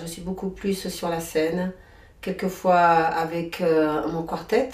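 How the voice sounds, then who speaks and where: A woman speaks very slowly in a dark, mellow tone at a fairly low pitch. Room echo is audible. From Comoros, raised in France (Drôme). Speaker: singer-songwriter and workshop leader. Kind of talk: interview. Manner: hesitant, many fillers.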